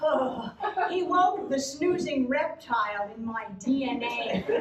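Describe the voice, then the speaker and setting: A high-pitched woman's voice with ordinary pitch variation, audible room echo and noticeable background noise. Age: 70s. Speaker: cabaret performer and actress. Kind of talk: storytelling stage show.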